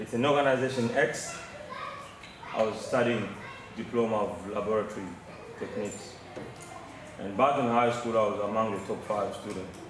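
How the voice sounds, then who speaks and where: Audible room echo and noticeable background noise surround a man of medium pitch who talks at a moderate pace with fairly even intonation and long, frequent pauses. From DR Congo. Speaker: mining engineer. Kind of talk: audience question. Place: meeting room. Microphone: camera far.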